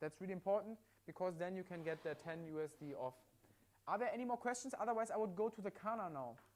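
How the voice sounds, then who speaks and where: With a German accent, a high-pitched man talks at a very fast pace with lively intonation. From Germany. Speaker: livestream product presenter. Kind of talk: live sales demonstration. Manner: halting with repetitions.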